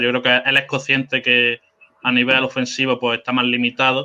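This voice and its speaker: With a Spanish accent, a man talks at a fairly quick pace in a flat, monotone delivery. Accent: Spanish (Spain). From Spain. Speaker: basketball fan guest. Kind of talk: casual sports chat.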